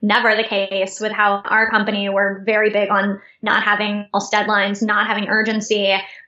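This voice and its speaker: This woman's voice sits fairly high and moves at a moderate pace. Noticeable background noise runs under it. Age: 30s. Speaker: startup founder and CEO. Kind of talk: interview.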